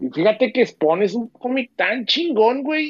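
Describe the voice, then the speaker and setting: A man is speaking. He has a Mexican accent. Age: 30s. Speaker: film commentator. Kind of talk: casual chat.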